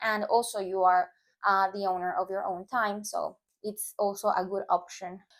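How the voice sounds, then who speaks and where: A woman talks at a moderate pace with a Spanish accent. Her pitch is medium and her intonation stays monotone and flat. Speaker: language teacher YouTuber. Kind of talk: tutorial. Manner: casual, with hesitations.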